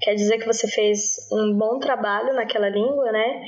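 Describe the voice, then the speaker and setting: Noticeable background noise accompanies a woman who speaks at a medium pitch with monotone, flat intonation. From Brazil, Brasília. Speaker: language teacher. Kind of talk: casual interview.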